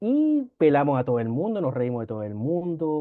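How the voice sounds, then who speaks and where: A man speaks with a Chilean accent at a fairly quick pace. His intonation is lively. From northern Chile (Antofagasta). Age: 40s. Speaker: law professor and lawyer. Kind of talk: casual interview storytelling.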